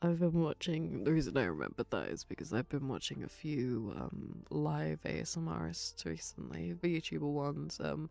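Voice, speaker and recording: A soft-spoken woman with a very deep, low pitch, a dark, mellow tone, vocal fry and very wide pitch swings. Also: moderate pace, hardly any pauses. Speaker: ASMR streamer. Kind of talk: ASMR rambling stream. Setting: live stream.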